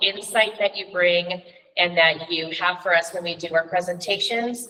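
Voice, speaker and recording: There is noticeable background noise as a woman speaks at a moderate pace. Her pitch varies in an ordinary way. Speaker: middle school teacher and coach. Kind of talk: formal address at a school board meeting. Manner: loud.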